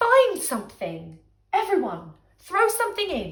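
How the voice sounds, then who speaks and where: A woman speaks in a put-on character voice. Her pitch is extremely high and her pace moderate. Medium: read story.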